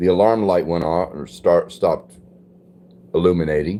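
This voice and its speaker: Relaxed in tone, a man talks at a fairly quick pace. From US West, Los Angeles. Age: 60s. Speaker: livestreamer. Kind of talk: casual live chat reading viewer comments. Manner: relaxed, conversational.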